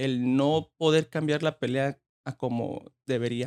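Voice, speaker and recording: A man is speaking with fairly even intonation. The sound is dry and close, with no echo. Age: 20s. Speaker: boxing trainer. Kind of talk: interview.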